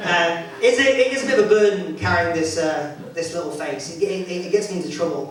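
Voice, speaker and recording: A man with a high voice and an English accent talks at a fairly quick pace with hardly any pauses and lively intonation, amid noticeable background noise and audible room echo. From England. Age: 30s. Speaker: stand-up comedian. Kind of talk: stand-up. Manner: halting.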